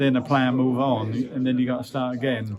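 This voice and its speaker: Medium-pitched male speech with a Norfolk accent, fairly even intonation and a moderate pace, over noticeable background noise. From Norwich, England. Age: 70s. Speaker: retired professional footballer. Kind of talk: interview answer. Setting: event venue. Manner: casual, reminiscing.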